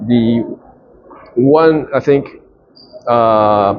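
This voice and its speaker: A man speaks with a Japanese accent at medium pitch and ordinary pitch variation. Background noise is noticeable. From Japan, Tokyo. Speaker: businessman and investor. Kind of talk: interview. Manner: halting, many fillers and restarts.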